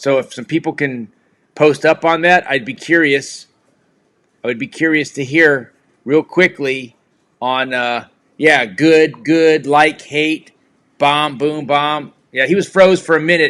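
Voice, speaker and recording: Pitch varies in an ordinary way. The speech moves fairly slowly. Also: man, fairly high pitch for a man. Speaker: live stream host. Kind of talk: casual chat. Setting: live video stream with remote guest. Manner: loud, projecting voice; yelling.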